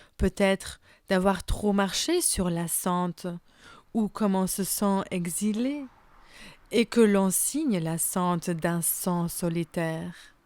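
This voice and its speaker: In a very clean recording with a silent background and a dry, close sound with no echo, a woman with a non-native accent speaks at a very slow pace. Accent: foreign accent in French. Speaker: interviewer. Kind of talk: interview.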